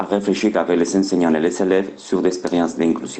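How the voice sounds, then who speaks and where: A man's very deep, low voice with fairly even intonation, noticeable background noise and audible room echo. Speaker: education researcher. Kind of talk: conference presentation.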